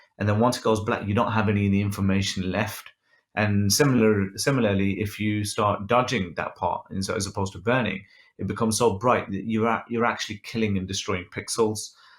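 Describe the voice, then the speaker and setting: A man speaks with a Birmingham accent in a fairly low voice. His pace is fairly quick and his intonation monotone and flat. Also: quiet background. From England. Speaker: photographer and photo editing instructor; photo editing instructor. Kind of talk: tutorial with live Q and A. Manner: casual, many filler ums. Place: home room. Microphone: webcam.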